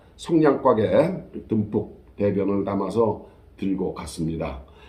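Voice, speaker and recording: Very deep, low male speech, with audible room echo around it. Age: 70s. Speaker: storyteller vlogger. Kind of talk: personal storytelling monologue. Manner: casual, conversational with fillers.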